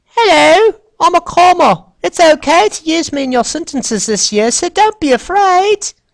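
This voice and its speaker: A put-on character voice in a British accent speaks at an extremely high pitch and a moderate pace with hardly any pauses. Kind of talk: polite, friendly.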